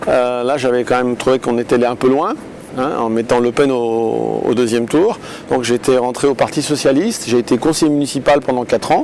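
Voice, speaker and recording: At a fairly quick pace and medium pitch, a man talks with fairly even intonation against noticeable background noise. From France, Lyon. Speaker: politician. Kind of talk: interview. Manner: hesitant, many fillers.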